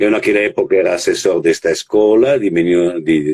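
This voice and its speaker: A man speaks with an Italian accent. His voice sounds dry and close, without echo. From Italy, Verona. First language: Italian (speaking Portuguese). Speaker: children's rights network coordinator. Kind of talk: interview on live stream. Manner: halting, many hesitations.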